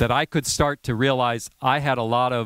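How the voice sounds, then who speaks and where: On a very clean recording with a silent background, a man with an American accent speaks in an animated tone at medium pitch. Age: 60s. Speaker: professor. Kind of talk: lecture.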